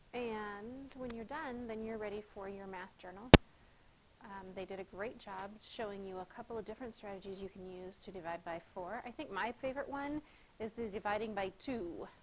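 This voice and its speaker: At a moderate pace, a woman speaks in a plain, everyday voice at medium pitch with ordinary pitch variation. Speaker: schoolteacher. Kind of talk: tutorial.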